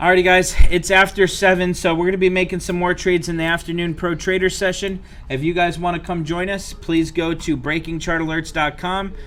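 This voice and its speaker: A high-pitched man talks at a fairly quick pace with hardly any pauses and monotone, flat intonation. Noticeable background noise runs underneath. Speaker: options trading educator. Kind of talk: live trading stream commentary. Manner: fast; casual.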